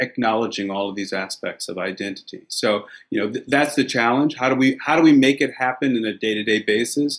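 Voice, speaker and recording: A man talks at a fairly quick pace, his medium pitch showing ordinary pitch variation. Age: 50s. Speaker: invited speaker. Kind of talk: panel discussion. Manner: halting.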